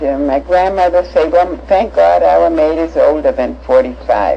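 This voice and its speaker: A woman speaks over noticeable background noise. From Germany (Hanover, Nuremberg). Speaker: Holocaust-era survivor recounting life. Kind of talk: personal life story testimony. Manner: halting, many fillers.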